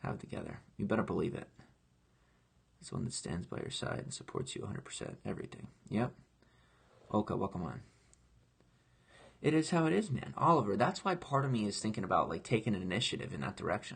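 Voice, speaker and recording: A man with a medium-pitched voice talks very fast with vocal fry, long, frequent pauses, very wide pitch swings and big swings in loudness. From grew up in foster care. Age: 20s. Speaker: online entertainer, live streamer. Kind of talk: casual live stream chat. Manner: animated, impassioned.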